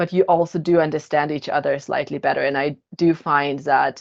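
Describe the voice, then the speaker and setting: At a moderate pace, a woman with a Russian accent and a very deep, low pitch speaks in monotone, flat intonation. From Germany, born in Kazakhstan. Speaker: podcast co-host, HR manager. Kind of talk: casual podcast discussion.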